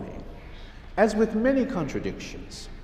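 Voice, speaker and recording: Amid audible room echo, a man speaks at a moderate pace in a high voice with a Hawaiian accent. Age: 70s. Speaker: pastor. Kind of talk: sermon.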